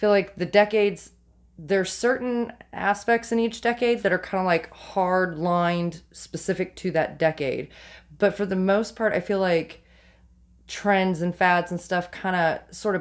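A woman, heard over a quiet background, talks fairly slowly, her pitch varying in an ordinary way. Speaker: vintage reseller. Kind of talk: casual vlog chat. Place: shop. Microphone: phone near.

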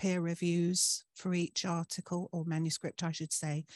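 In a dry recording with no echo and a quiet background, a woman speaks at a fairly low pitch. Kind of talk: presentation talk. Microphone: video call.

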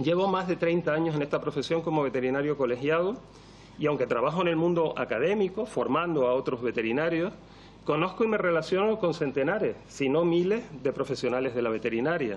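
A man's fairly quick pace with lively intonation and very even loudness. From Canary Islands, Spain. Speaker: veterinarian and toxicology professor; toxicology professor. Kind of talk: parliamentary testimony. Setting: parliament committee hearing. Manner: formal. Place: meeting room. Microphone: podium.

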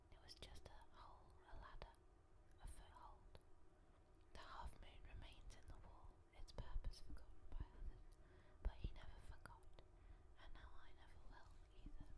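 The speaker whispers at a moderate speed, stopping often for long pauses. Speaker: art student. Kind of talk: personal memoir narration. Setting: outdoors. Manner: soft-spoken.

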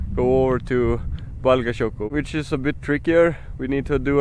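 Over light background noise, a man speaks at a fairly slow pace in a dry sound with no echo. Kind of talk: casual vlog chat. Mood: calm, mildly excited. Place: open country. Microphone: phone near.

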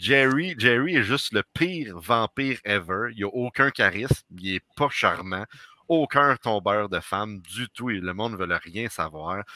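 A man with a Quebec accent speaks at medium pitch and a fairly slow pace, his bright, sharp tone carrying lively intonation in a dry sound with no echo against a quiet background. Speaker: podcast co-host. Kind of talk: casual chat. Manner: animated. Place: home room. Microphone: headset.

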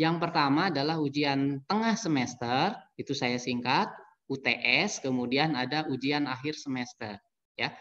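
The voice shows ordinary pitch variation. The background is quiet. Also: man. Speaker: university lecturer and academic administrator; university lecturer. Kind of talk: online presentation. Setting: video call. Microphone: webcam.

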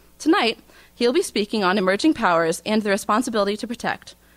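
A woman's voice with lively intonation and a fairly quick pace, over a quiet background. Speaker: student event organizer; event host introducing lecturer. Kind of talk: formal introduction. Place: hall.

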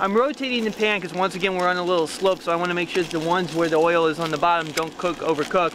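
A man talks at a very fast pace in a high pitch with ordinary pitch variation, his voice dry with no echo, over noticeable background noise. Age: 40s. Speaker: cooking show host. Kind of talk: cooking demonstration. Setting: outdoors. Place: beach.

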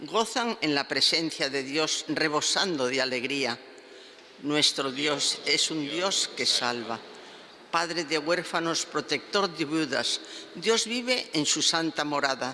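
Her tone bright and sharp, a woman with a low pitch speaks at a slow pace with lively intonation.

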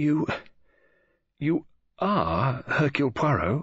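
A man's put-on character voice, fairly high-pitched and fairly bright, with a slightly husky edge, big pitch swings and a slow pace

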